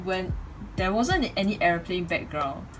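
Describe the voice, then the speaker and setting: A woman at a medium pitch with ordinary pitch variation, music playing in the background. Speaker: YouTuber reviewing a microphone. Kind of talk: product review. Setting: home bedroom.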